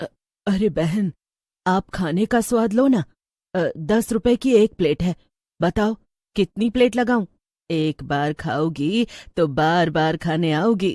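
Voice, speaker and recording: A woman uses a put-on character voice at a medium pitch, moving at a fairly slow pace. She pauses long and often on a very clean recording with a silent background. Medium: read story. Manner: cackling, taunting.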